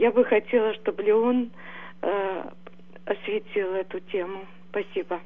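A woman's fairly slow, fairly even speech, full of long, frequent pauses. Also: medium pitch for a woman. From Russia. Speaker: caller. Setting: phone call.

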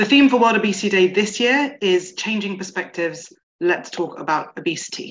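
Ordinary pitch variation marks a woman's voice at a fairly quick pace. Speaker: awareness campaign manager. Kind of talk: presentation. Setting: video call. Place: home room. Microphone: video call.

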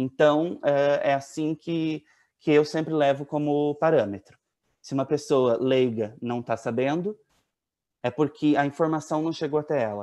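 Fairly slow speech comes in a dark, mellow tone. Pitch varies in an ordinary way. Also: man, fairly high pitch for a man, quiet background. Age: 20s. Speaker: family member of a missing child, giving testimony. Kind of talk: tearful, grieving testimony about his missing brother and late father. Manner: emotional, halting, voice breaking with sorrow. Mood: earnest, sorrowful. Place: home room. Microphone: earbuds.

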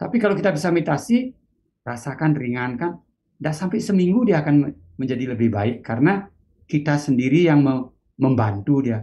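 A man's fairly high, somewhat breathy voice, dark and mellow in tone, with lively intonation at a moderate pace. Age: 60s. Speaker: meditation teacher; meditation teacher, guest. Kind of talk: interview. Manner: halting. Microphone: video call.

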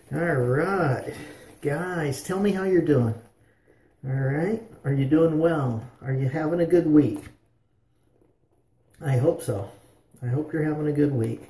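Amid audible room echo, a somewhat breathy man speaks in a dark, mellow tone with ordinary pitch variation and long, frequent pauses. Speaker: shaving vlogger. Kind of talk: casual vlog chat. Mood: relaxed, friendly. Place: bathroom. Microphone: phone near.

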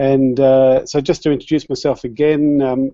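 With an Australian accent, a man talks at a medium pitch in a dark, mellow tone, the sound dry with no echo and the background quiet. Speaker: education specialist, former teacher. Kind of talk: educational presentation. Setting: video call. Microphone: video call.

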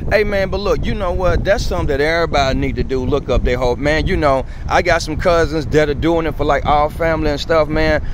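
A man talks at a very fast pace with hardly any pauses, his pitch fairly high and his intonation fairly even. The sound is dry with no echo, but noticeable background noise is present. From US South, Montgomery, Alabama. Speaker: YouTuber. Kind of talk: casual street chat. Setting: outdoors on a city street. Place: street. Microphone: phone near.

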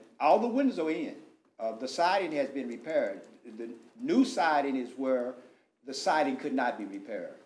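Speaking with an American accent, a man with a fairly high pitch moves at a moderate pace, using lively intonation and long, frequent pauses. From Texas. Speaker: pastor and contractor; pastor, contractor. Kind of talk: public comment at council meeting. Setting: city council chamber. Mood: earnest, explaining himself. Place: meeting room. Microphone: podium.

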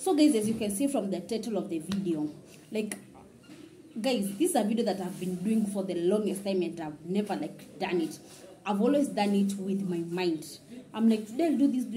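Audible room echo surrounds a woman with a dark, mellow tone. She talks at a medium pitch and a moderate pace. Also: lively intonation.

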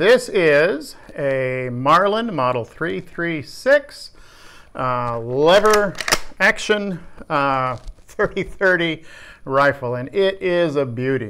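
Speaking very slowly, a man has a bright, sharp tone. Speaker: workshop vlogger. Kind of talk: casual vlog chat. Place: workshop. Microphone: phone near.

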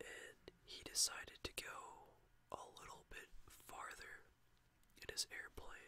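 The voice is whispering at a fairly slow pace. Its loudness swings a lot. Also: man. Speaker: storyteller. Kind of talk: casual vlog chat. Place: home room. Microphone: webcam.

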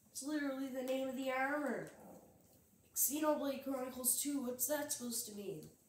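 A woman's high-pitched voice at a moderate pace, ordinary pitch variation, long and frequent pauses, audible room echo and light background noise. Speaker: gaming youtuber. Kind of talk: let's play commentary. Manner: animated. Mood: casual, wry. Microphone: phone near.

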